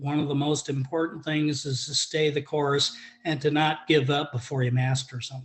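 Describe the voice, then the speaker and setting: A man speaks at a moderate pace in a fairly high, somewhat breathy voice with flat, monotone intonation. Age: 70s. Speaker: golf student giving a testimonial. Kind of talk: testimony.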